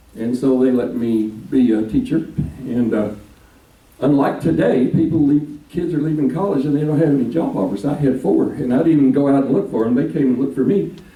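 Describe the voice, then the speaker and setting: A man with a Texan accent talks at a fairly quick pace in a fairly high pitch, his loudness very even, with audible room echo and noticeable background noise. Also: ordinary pitch variation. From Texas (Dallas). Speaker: minister. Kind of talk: speech to a local political group.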